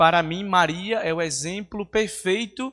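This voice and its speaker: A man with a northeastern Brazilian accent on a very clean recording with a silent background. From Brazil, Northeast (Natal, Rio Grande do Norte). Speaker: seminarian. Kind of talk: homily. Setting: church.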